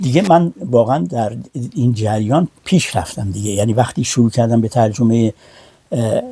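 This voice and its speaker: Recorded with a dry, close sound and no echo, a man talks at a moderate pace and medium pitch with lively intonation. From Iran. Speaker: translator and publisher. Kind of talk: interview. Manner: halting, many fillers.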